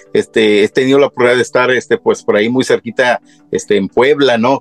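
A man talks at a fairly quick pace over background music, the sound dry and close with no echo. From Mexico, Michoacán (Tacámbaro), moved to US young. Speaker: singer. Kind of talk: casual interview. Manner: hesitant, many fillers.

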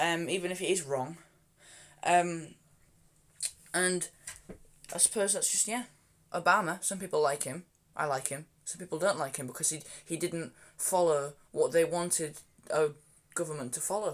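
A high-pitched man with a Yorkshire accent, moderate pace, ordinary pitch variation, big swings in loudness, and long, frequent pauses. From Yorkshire, England. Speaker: podcast co-host. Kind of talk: casual chat.

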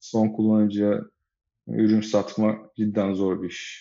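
A man with a fairly low voice talks very slowly. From Turkey, Izmir. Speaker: venture capital investor. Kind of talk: interview.

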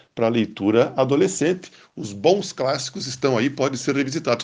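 A man has an ordinary speaking voice at a medium pitch with lively intonation. He moves at a moderate pace over a quiet background. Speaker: radio book columnist. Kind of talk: radio commentary.

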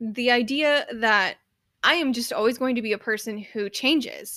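Recorded very cleanly against a silent background, a woman speaks with a bright, sharp tone. Her pitch is fairly high and varies in an ordinary way. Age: 30s. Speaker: podcast host and writer. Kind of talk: solo podcast monologue. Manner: casual, frequent laughs and fillers.

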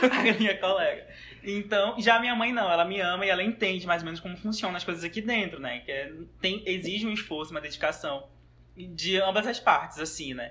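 A man's raised, projected voice, high-pitched, at a fairly quick pace with ordinary pitch variation. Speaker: guest, university student. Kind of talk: casual chat.

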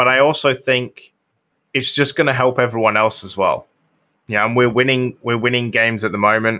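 With a British accent, a man speaks in a bright, sharp tone and fairly even intonation, recorded very cleanly over a silent background. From Britain. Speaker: soccer podcast guest and gaming streamer. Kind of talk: casual chat.

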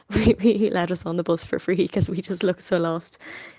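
A woman with a Dublin accent talks at a fairly quick pace in a dry, close sound with no echo. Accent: Dublin Irish English. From Ireland, North Dublin. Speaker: former exchange student. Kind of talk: casual interview. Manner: hesitant with fillers.

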